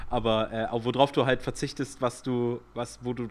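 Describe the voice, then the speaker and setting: His intonation is flat and monotone. The man's pitch is medium. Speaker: podcast co-host, amateur cyclist. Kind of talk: casual chat.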